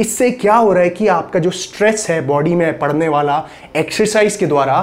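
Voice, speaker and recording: A man speaks with a high pitch. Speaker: fitness trainer. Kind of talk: tutorial. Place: studio. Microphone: lapel.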